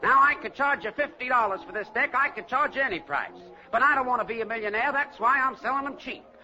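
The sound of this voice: A man uses a put-on character voice at an extremely high pitch, with a bright, sharp tone and ordinary pitch variation. He talks at a fast pace over faint music in the background.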